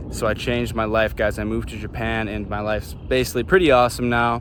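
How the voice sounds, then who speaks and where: A man speaks at a very fast pace with an American accent. The room echo is audible, and background noise is noticeable. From US Midwest, Chicago. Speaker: vlogger. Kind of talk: casual monologue vlog. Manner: animated.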